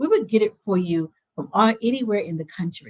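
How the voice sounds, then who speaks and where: A woman's voice comes across somewhat breathy. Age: 60s. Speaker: librarian. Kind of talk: interview.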